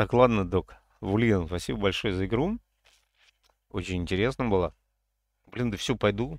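A man's voice at a moderate pace, dry with no echo, against a quiet background. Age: 50s. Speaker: gaming streamer. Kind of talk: gameplay livestream chat. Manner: animated.

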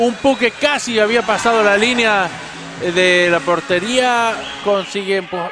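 The voice is raised and projected, moving at a fairly slow pace with ordinary pitch variation. Music plays in the background. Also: man, high pitch for a man. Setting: sports arena (hockey pavilion).

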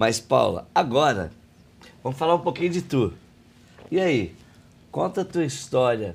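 The man's voice sits fairly high and swings very widely in pitch, with vocal fry. He takes long, frequent pauses. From Brazil, outside São Paulo state. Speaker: podcast host and coaching trainer. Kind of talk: interview conversation. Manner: animated.

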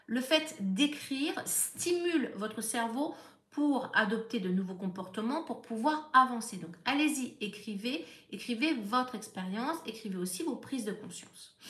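A woman's fairly high voice, lively in intonation, with big swings in loudness over noticeable background noise. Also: fairly slow pace. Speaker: therapist. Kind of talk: live stream talk.

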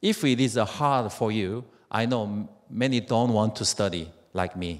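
A man talks at a fairly low pitch with a Korean accent. The background is quiet. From South Korea. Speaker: network marketing distributor; speaker. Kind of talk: motivational speech. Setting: stage with audience. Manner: halting. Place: hall. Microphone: handheld.

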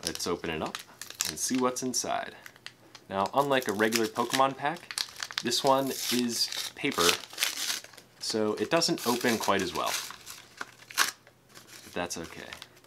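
Against loud background noise, a man talks at a fairly slow pace, leaving long, frequent pauses. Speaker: unboxing video host. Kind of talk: casual unboxing commentary. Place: home room.

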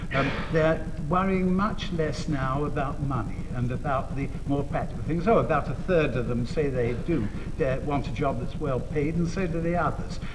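Noticeable background noise accompanies a man speaking at a moderate pace. His pitch is fairly high, with ordinary variation. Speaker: researcher on teenagers. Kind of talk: TV talk show interview. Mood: cheerful, lightly humorous. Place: studio.

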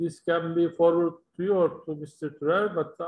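A man speaks in a high voice with a Turkish accent. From Turkey. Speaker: panel moderator, timber industry association chairman; panel moderator. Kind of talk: panel discussion moderation. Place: home room. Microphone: video call.

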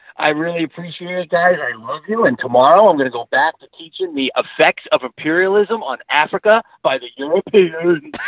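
A man with an American accent talks fairly fast in a high voice, with lively intonation and hardly any pauses. His loudness swings widely, and the sound is dry with no echo. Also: quiet background. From New York. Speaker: teacher, podcast supporter calling in; podcast host. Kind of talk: comedic podcast banter. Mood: joking, playful. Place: studio. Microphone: handheld.

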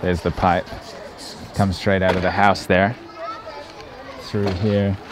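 There is noticeable background noise, but the sound is dry with no echo. A man with a very deep, low pitch speaks at a moderate pace. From New Zealand. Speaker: travel vlogger. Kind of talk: travel vlog narration. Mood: earnest, somewhat shocked. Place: street. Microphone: phone near.

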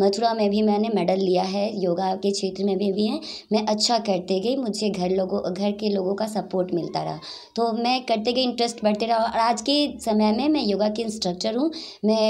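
With a normal speaking voice, a woman talks at medium pitch and a moderate pace, her loudness very even and her pitch variation ordinary. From Bihar, Saran (Chapra); Bihar. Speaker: weightlifter and yoga champion; yoga instructor. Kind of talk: interview. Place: home room. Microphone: handheld.

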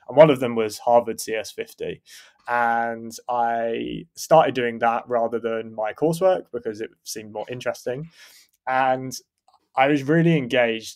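A man with an unremarkable speaking voice and a medium pitch speaks at a fairly slow pace with fairly even intonation and big swings in loudness. The recording is very clean, with a silent background. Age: 30s. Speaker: engineering manager. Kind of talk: casual interview.

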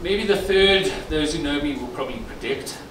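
A man talks at a moderate pace. Noticeable background noise and audible room echo come through. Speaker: company executive. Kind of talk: celebration speech. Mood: reflective, earnest. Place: hall. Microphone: handheld.

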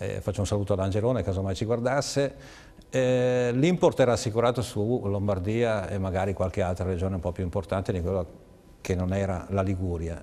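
At a fairly quick pace, a man speaks in a dark, mellow tone at a fairly low pitch with ordinary pitch variation. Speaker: radio host, DJ, guest. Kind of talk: interview. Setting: studio. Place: studio. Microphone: lapel.

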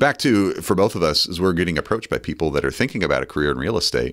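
Against a quiet background, a man with a very deep, low pitch talks very fast, with vocal fry and very wide pitch swings. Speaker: real estate agent; podcast co-host. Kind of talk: casual chat. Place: studio. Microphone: studio mic.

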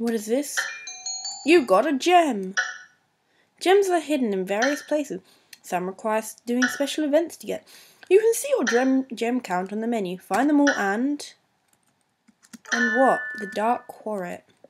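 Over background music, a woman with a high pitch speaks at a fairly slow pace, with very wide pitch swings and long, frequent pauses. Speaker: gamer. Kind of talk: let's-play commentary and reading game text. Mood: playful, easily startled. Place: home room. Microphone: webcam.

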